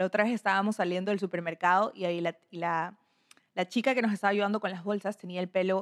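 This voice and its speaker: A woman's plain, everyday voice at medium pitch, fairly even in intonation, recorded dry and close with no echo. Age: 20s. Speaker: podcast host. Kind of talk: personal monologue. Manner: casual.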